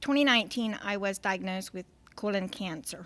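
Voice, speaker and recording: Her pitch varies in an ordinary way. The woman talks at a medium pitch. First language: Pennsylvania Dutch. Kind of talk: testimony. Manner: halting, hesitant.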